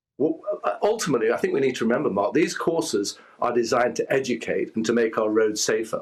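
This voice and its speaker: A man with an English accent, very fast pace and very even loudness. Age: 60s. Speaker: lawyer. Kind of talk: news interview. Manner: halting, with many false starts.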